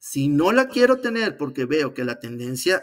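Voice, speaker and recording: A man talks with a Venezuelan accent. The background is quiet. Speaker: civil engineer and trader; interview guest. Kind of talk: interview. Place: home room.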